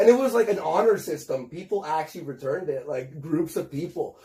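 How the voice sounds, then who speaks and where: With a Canadian accent, a man talks in a high pitch. His intonation is lively. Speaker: internet personality, former stand-up comedian. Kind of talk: interview. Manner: fast, filler-heavy casual speech.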